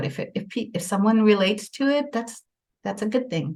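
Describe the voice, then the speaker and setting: Lively intonation and a somewhat breathy delivery at a moderate pace, with an American accent. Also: woman. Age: 60s. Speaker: author and radio co-host. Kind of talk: casual chat. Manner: halting.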